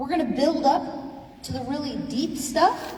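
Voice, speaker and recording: Loud and high-pitched, a woman's voice carries audible room echo over noticeable background noise. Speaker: forum facilitator. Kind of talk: public forum moderation.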